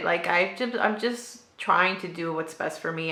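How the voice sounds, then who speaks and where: Amid noticeable background noise and audible room echo, a woman with a non-native accent speaks at a moderate pace. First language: not English. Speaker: booktuber. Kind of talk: casual vlog chat. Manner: hesitant, many fillers.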